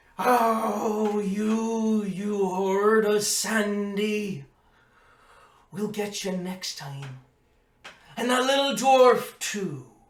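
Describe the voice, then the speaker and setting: At a very slow pace with long, frequent pauses, a fairly high put-on character voice comes through with slight echo. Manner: ominous.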